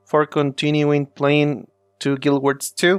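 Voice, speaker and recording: A man is heard in a dry, close sound with no echo while music plays in the background. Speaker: gaming youtuber. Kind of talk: game tutorial voice-over. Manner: hesitant, many fillers.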